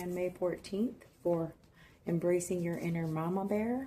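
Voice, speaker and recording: Somewhat breathy and dark, mellow in tone, a woman speaks at a fairly slow pace with a fairly low pitch and ordinary pitch variation. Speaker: tarot reader. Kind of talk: tarot reading talk to camera.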